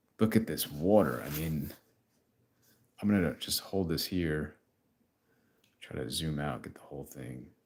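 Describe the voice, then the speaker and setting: With a New York accent, a man speaks in a very deep, low pitch, showing vocal fry and ordinary pitch variation. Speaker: comic artist. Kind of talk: live stream comic book review. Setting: YouTube live stream. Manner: casual, filler-heavy.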